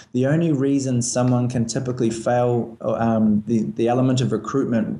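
With a New Zealand accent, a man speaks at a medium pitch and with fairly even intonation. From New Zealand, Christchurch. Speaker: airline recruiting manager. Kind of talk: interview. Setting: phone call.

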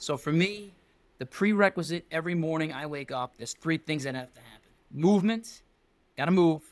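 Speaking with an American accent, a man has an unremarkable speaking voice pitched fairly high, with ordinary pitch variation at a moderate pace. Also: dry, close sound with no echo. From New York City, Staten Island. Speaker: football coach. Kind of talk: casual chat.

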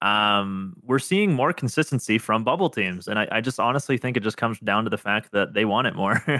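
At a fairly quick pace with hardly any pauses, a plain, everyday voice keeps very even loudness and ordinary pitch variation in a very clean recording with a silent background. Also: man, medium pitch for a man. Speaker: esports coach and content creator. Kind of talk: interview.

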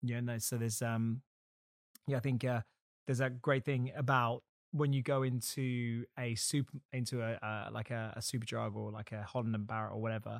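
A man with a plain, everyday voice speaks at a moderate pace and a medium pitch, his intonation fairly even, on a very clean recording with a silent background and a dry, close sound with no echo. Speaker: podcast host. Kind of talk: interview.

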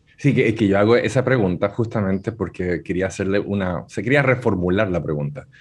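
A man with a normal speaking voice talks at a fairly quick pace, his pitch fairly low. His pitch variation is ordinary, and the background is quiet. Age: 40s. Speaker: digital marketing speaker. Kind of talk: radio interview.

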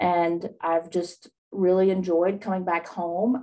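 A dark, mellow tone with an Appalachian accent. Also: woman. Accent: Appalachian Southern US. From East Tennessee / Southwest Virginia (Appalachia). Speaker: horn player and student success coach. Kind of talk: radio interview.

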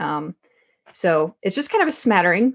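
Against a quiet background, a woman with an American accent and a plain, everyday voice speaks at a moderate pace in a medium pitch. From US South, Texarkana, Arkansas. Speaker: Air Force member and real estate investor. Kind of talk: podcast interview.

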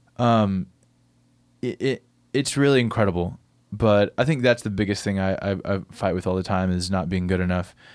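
With an American accent, this man has a normal speaking voice, fairly low in pitch with ordinary pitch variation, on a very clean recording against a silent background. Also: moderate pace. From Middle Tennessee, US South (small country town). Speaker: singer-songwriter and recording artist. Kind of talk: casual interview chat. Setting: recording studio.

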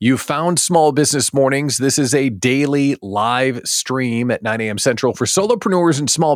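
A man's fairly high, animated voice at a moderate pace on a very clean recording with a silent background. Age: 40s. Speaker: podcast host and business coach. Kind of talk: casual livestream talk.

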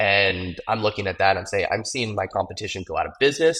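On a very clean recording with a silent background, a man in a normal speaking voice talks at a fairly quick pace with lively intonation. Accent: American. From Arizona, US. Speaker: moving company owner. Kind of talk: casual business interview.

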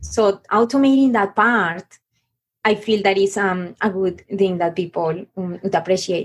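A woman with a Spanish accent speaks at a medium pitch. Her pace is fairly slow, with ordinary pitch variation. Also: very even loudness. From Colombia. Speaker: business coach. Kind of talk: interview. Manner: halting.

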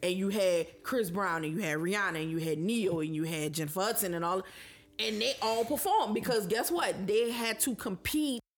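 With an ordinary speaking voice, a woman talks at a moderate pace at medium pitch, her intonation lively. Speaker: podcast co-host. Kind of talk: casual chat.

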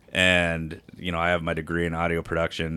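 A man with an American accent, a very deep, low pitch and a bright, sharp tone, at a moderate pace on a very clean recording with a silent background. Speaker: podcast co-host. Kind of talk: casual chat.

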